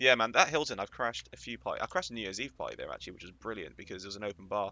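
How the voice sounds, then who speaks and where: Talking at a very fast pace with a British accent, a man uses a medium pitch, ordinary pitch variation and big swings in loudness. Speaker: Twitch streamer. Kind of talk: casual gameplay commentary.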